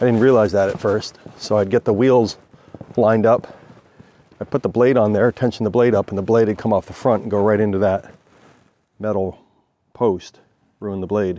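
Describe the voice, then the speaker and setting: The recording is dry with no echo as a man speaks at a moderate pace with fairly even intonation and long, frequent pauses. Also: fairly low pitch for a man. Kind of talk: casual explanatory tour. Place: open country. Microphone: phone near.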